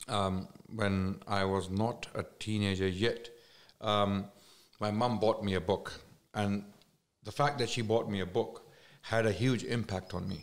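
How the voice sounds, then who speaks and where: A man with a Pakistani accent speaks at a fairly slow pace and a fairly low pitch, keeping his intonation fairly even and leaving long, frequent pauses. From Islamabad, Pakistan. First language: Urdu. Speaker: Islamic scholar and speaker. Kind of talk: casual podcast interview.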